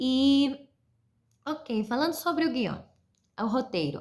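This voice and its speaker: On a very clean recording with a silent background, a somewhat breathy woman speaks at a fairly slow pace with lively intonation. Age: 20s. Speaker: university film student. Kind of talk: mini-lesson for school pupils. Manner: halting, many fillers.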